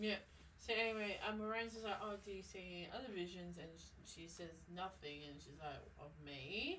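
At a moderate pace, the voice shows ordinary pitch variation and big swings in loudness over noticeable background noise. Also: woman, fairly low pitch for a woman. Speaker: podcast co-host. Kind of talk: casual chat.

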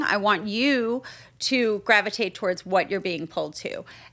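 A woman speaks in an ordinary speaking voice at a medium pitch. She keeps a moderate pace with ordinary pitch variation. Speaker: shop co-owner and podcast host. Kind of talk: casual chat.

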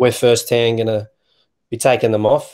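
Medium-pitched man with an Australian accent, a dark, mellow tone and fairly even intonation, on a very clean recording with a silent background. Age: 20s. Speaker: youth basketball volunteer. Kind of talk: casual interview. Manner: halting, many fillers.

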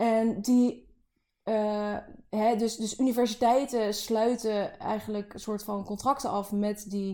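Her fairly high voice has a dark, mellow tone, moving at a very slow pace in a monotone, flat delivery. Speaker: podcast co-host, PhD researcher. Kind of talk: casual chat.

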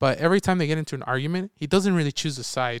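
This man's voice is a normal speaking voice, delivered at a fairly quick pace. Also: dry, close sound with no echo, very clean recording, silent background. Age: 20s. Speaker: podcast co-host, movie reviewer. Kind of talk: casual chat.

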